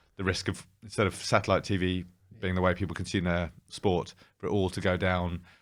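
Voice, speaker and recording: In a British accent, a man speaks at a fairly quick pace with a very deep, low pitch and monotone, flat intonation, in a very clean recording with a silent background. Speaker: former betting company CEO. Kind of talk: interview. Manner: hesitant, with fillers and restarts.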